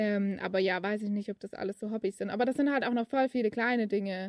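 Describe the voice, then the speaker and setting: Fairly even intonation at a fairly quick pace, with a dry, close sound and no echo. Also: woman. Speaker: podcaster. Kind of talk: casual monologue. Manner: hesitant, with many fillers and laughs.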